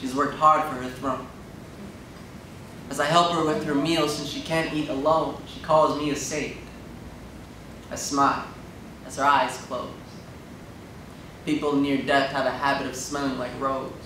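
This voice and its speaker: A man at a moderate pace, fairly high in pitch, monotone and flat, with long, frequent pauses, audible room echo and light background noise. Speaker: spoken word poet. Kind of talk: spoken word poetry performance. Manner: rhythmic, emotional. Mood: emotional, grieving. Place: hall.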